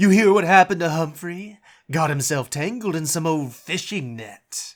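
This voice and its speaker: In a very clean recording with a silent background, a man uses a put-on character voice at a high pitch and a moderate pace. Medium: audio drama. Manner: casual, cocky.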